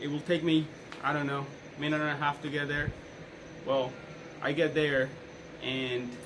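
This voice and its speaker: Speaking in a Colombian accent at a moderate pace, a man with fairly high pitch keeps a monotone, flat intonation amid noticeable background noise and audible room echo. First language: Spanish. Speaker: police officer giving a class speech. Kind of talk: persuasive speech.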